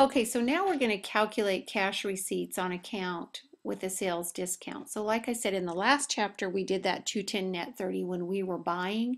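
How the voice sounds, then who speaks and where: A woman talks with hardly any pauses, at a medium pitch with ordinary pitch variation. The recording is very clean, the background silent. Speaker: accounting teacher. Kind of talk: lecture. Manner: fast.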